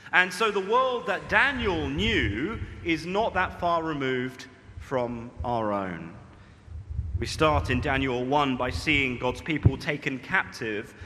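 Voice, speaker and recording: Over music in the background and audible room echo, a man at medium pitch speaks very slowly with very wide pitch swings. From Britain. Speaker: preacher. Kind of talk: sermon.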